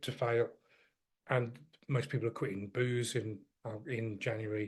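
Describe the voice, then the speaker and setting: A man speaks in a somewhat breathy voice. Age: 50s. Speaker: fitness coach. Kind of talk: coaching talk to program members. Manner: animated.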